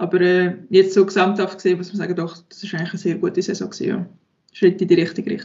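Very fast and somewhat breathy, a woman talks at medium pitch in a monotone, flat intonation. Her loudness swings in big jumps. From Switzerland, Aargau. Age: 20s. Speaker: professional sport shooter. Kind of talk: interview.

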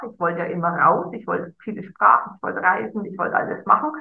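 The voice has vocal fry and moves at a fairly quick pace. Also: woman. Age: 50s. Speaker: life coach. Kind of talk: casual chat.

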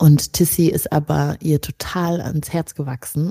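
A woman's very deep, low voice with a dark, mellow tone, monotone and flat in intonation, in a dry, close sound with no echo. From Rwanda, moved to Germany at ten. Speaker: editor, podcaster and writer. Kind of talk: casual chat.

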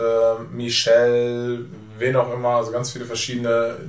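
A man speaks at a fairly slow pace. The recording has audible room echo and noticeable background noise. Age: 40s. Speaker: travel company owner. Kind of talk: casual interview. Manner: hesitant, many fillers.

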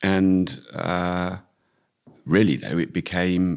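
A man speaks with a British accent in a very deep, low voice. His pace is very slow. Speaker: retired air force officer. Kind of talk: interview.

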